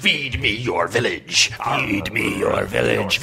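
Over clear background noise, a man puts on a raspy character voice. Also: fairly slow pace. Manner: menacing, demanding.

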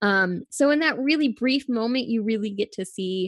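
A woman speaks in a normal speaking voice at a moderate pace, her intonation lively. The sound is dry and close with no echo, over a quiet background. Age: 30s. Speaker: film podcast guest. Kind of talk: casual chat.

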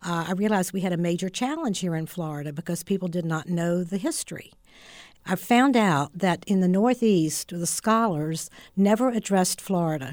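In a normal speaking voice, a woman with an American accent speaks at a medium pitch and a moderate pace on a very clean recording with a silent background. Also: ordinary pitch variation. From West Virginia. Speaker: author and historian. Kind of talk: radio interview. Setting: studio.

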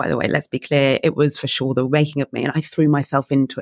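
A woman with an English accent at a fairly quick pace, in a dry, close sound with no echo. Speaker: coach and keynote speaker. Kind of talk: interview.

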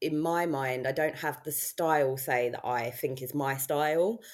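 A very slow delivery in a southern English accent, with ordinary pitch variation, on a very clean recording with a silent background. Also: woman. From southern England. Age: 30s. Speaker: weight loss success story guest. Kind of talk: casual interview.

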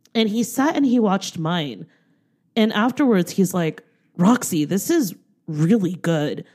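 On a very clean recording with a silent background, a woman speaks in an animated tone at a moderate pace with ordinary pitch variation. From US, Taiwanese American. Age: 30s. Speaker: filmmaker and podcaster. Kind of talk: casual chat.

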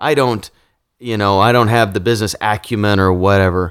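In a plain, everyday voice, a man with an American accent speaks at a fairly low pitch and a fairly quick pace, with ordinary pitch variation. The recording is very clean, with a silent background. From Kansas, Wichita area. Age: 40s. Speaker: entrepreneur and real estate developer. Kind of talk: interview conversation.

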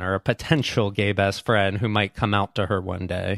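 A normal speaking voice from a man, pitched fairly low, moderately paced, its intonation fairly even. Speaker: documentary filmmaker. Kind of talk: interview.

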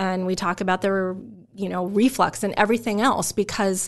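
A woman with an American accent and an ordinary speaking voice talks at a fairly quick pace. Her intonation is fairly even. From Omaha, Nebraska (US Midwest). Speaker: pharmacy professor. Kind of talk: interview.

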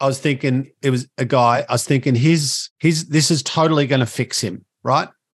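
In an Australian accent, a man talks at medium pitch with fairly even intonation and hardly any pauses. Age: 50s. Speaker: motivational speaker and educator. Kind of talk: casual interview.

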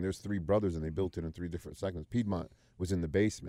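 A man's very deep, low voice, dark and mellow in tone, with ordinary pitch variation and a very fast pace. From US Midwest, Youngstown, Ohio. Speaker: business owner. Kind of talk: interview storytelling. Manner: relaxed.

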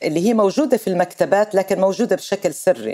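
Medium pitch and a dark, mellow tone from a woman, moderate in speed, with ordinary rises and falls. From Palestine, Nablus. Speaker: Palestinian activist and legislator. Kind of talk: interview.

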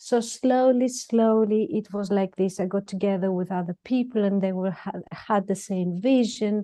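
A woman with a Greek accent speaks at a medium pitch and a moderate pace in a dark, mellow tone, with ordinary pitch variation and hardly any pauses, over a quiet background. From Greece. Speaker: dentist and lecturer. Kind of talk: interview, conversational. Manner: quiet, measured.

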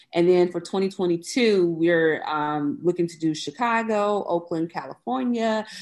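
Speaking with an American accent, a woman has an unremarkable speaking voice pitched fairly low. She talks at a fairly slow pace with lively intonation and hardly any pauses against a quiet background. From US South, Mississippi (Biloxi). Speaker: museum founder. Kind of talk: interview.

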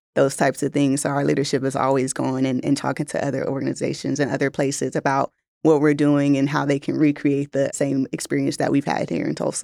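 A woman with an American accent speaks very fast with hardly any pauses, in a very deep, low pitch with a dark, mellow tone and vocal fry. Her intonation is monotone and flat, and the sound is dry and close with no echo. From Los Angeles, US. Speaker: community program director. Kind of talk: interview.

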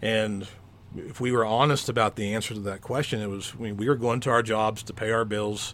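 A man with an American accent talks fairly quickly in a fairly low pitch with fairly even intonation, a plain, everyday voice. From Oklahoma. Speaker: educator and coach. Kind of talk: casual interview chat.

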